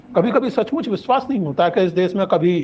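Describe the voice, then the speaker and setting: A man's voice with lively intonation. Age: 70s. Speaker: public intellectual, lecturer. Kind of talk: public lecture. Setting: stage with audience. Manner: formal.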